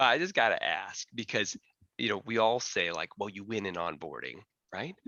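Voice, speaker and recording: A man talks at a medium pitch with very wide pitch swings and vocal fry. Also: moderate pace. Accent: Chicago. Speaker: panel moderator. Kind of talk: panel discussion.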